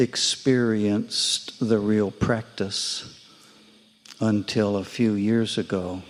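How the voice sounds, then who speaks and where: A man with an American accent speaks at a very slow pace, his medium pitch held in fairly even intonation. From United States. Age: 70s. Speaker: Buddhist practitioner. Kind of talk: testimony.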